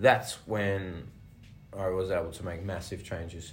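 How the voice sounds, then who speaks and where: A man's somewhat breathy voice in an Australian accent, at a moderate pace, with audible room echo. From Australia, rural Victoria. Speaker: personal trainer. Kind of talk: casual chat.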